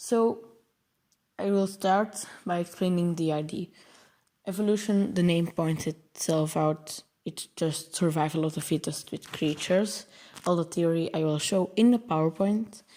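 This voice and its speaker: A woman with a Flemish accent speaks at a fairly slow pace in a fairly low pitch, her dark, mellow tone carrying ordinary pitch variation. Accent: Belgian Dutch (Flemish) accent in English. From Belgium. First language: Dutch. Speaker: programming tutorial creator. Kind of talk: tutorial. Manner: halting, many filler words and self-corrections.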